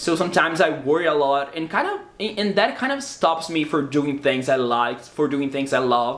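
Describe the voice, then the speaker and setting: A man with a Portuguese accent speaks at a moderate pace in a fairly high pitch, with ordinary pitch variation, hardly any pauses, and noticeable background noise. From Brazil. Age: 20s. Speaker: YouTuber. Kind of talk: casual vlog talk to camera. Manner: halting, repeats words.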